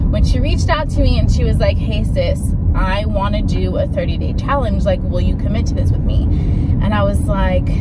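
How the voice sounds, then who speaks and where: Loud background noise runs under the recording. The talking proceeds at a moderate pace. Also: woman. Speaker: lifestyle vlogger. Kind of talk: casual vlog chat. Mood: candid, reflective, animated. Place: car. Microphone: phone near.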